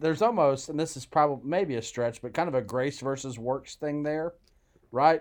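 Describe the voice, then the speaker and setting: A man speaks in an unremarkable speaking voice, fairly high in pitch with ordinary pitch variation. The background is quiet. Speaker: podcast co-host and preacher. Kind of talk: casual conversational Bible discussion.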